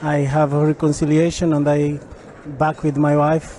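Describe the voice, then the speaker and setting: Fairly high-pitched male voice over noticeable background noise. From Portugal. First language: Portuguese. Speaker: church event attendee. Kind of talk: testimony. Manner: halting.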